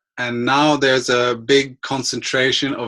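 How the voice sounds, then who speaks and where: A man with medium pitch speaks at a very slow pace. His tone is bright and sharp, and his intonation fairly even. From Germany. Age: 30s. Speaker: online entrepreneur. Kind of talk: interview. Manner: hesitant, many fillers.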